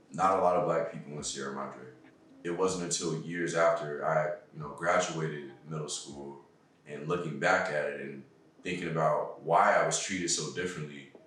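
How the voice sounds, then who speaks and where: A man's very deep, low voice with an American accent, fairly even intonation, big swings in loudness and a moderate pace, amid audible room echo and noticeable background noise. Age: 20s. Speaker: interviewee. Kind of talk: interview testimony.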